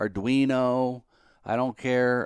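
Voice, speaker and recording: The sound is dry and close with no echo, and the recording is very clean with a silent background. A man speaks at medium pitch. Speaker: electronics hobbyist YouTuber. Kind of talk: tutorial. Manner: hesitant, many fillers; deliberately slow.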